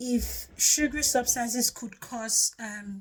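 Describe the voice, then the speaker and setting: A woman speaks with a Nigerian accent in a somewhat breathy voice. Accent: Nigerian (Yoruba) English. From Nigeria (Yoruba). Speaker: health testimony vlogger. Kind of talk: personal testimony. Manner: hesitant with frequent fillers.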